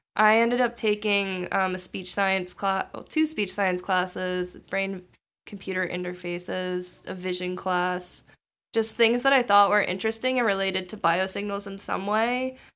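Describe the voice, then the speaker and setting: A woman with an American accent speaks in an ordinary speaking voice at medium pitch and moderate pace, with fairly even intonation, in a very clean recording with a silent background. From Maryland, US. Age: 20s. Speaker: biomedical engineering PhD student. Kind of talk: casual interview.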